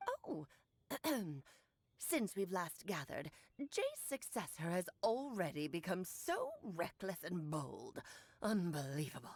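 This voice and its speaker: With long, frequent pauses, a woman speaks in a put-on character voice at a medium pitch and a fairly slow pace. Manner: haughty, scolding.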